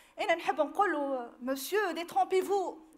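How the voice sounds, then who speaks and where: At a moderate pace, a woman speaks with an extremely high pitch and ordinary pitch variation. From Tunisia, Tunis area. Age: 30s. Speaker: victim giving testimony; witness. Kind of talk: public testimony. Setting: public hearing with audience. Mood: earnest, emotional recollection. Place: hall. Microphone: podium.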